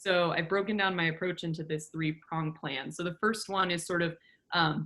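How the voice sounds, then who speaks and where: In a very clean recording with a silent background, a woman with a fairly low pitch speaks in a bright, sharp tone with fairly even intonation. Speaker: furniture maker. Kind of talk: presentation with slides. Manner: fast.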